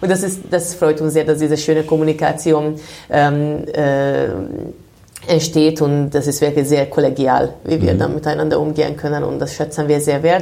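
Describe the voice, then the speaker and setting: A woman's very deep, low voice in a Hungarian accent, dark and mellow with vocal fry, fairly even in intonation, at a moderate pace. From Hungary, Budapest. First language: Hungarian (speaking German). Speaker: winemaker. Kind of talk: interview. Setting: wine cellar.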